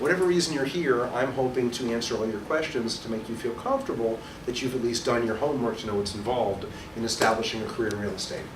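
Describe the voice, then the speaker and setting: Someone with a New York accent talks very fast with ordinary pitch variation, amid noticeable background noise and audible room echo. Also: man, medium pitch for a man. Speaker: real estate instructor and broker. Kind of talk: orientation presentation to a small audience. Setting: small room with live audience, recorded for webcast. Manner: loud.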